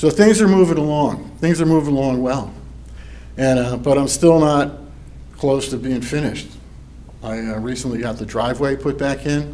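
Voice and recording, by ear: With audible room echo, a man speaks at a moderate pace and medium pitch. His tone is dark and mellow, with ordinary pitch variation.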